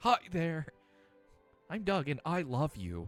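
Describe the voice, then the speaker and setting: A man puts on a character voice, fairly high in pitch and at a fairly slow pace. Faint music plays in the background. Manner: cheerful, affectionate.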